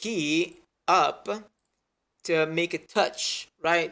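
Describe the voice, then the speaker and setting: The voice belongs to a man and has a bright, sharp tone. It is a very clean recording with a silent background. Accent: Italian. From Italy. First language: Italian. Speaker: 3D animator. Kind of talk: tutorial. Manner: halting, many fillers and restarts.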